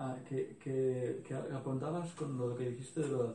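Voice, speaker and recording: Amid audible room echo, a man of medium pitch speaks with fairly even intonation at a moderate pace. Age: 40s. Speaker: workshop participant. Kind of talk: group discussion.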